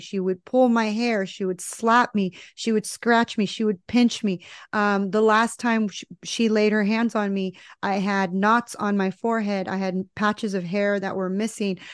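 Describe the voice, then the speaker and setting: In a dry, close sound with no echo and a quiet background, a woman speaks at a fairly high pitch and a moderate pace with fairly even intonation. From US, Mexican-American family. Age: 40s. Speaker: spiritual and life coach. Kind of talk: casual interview.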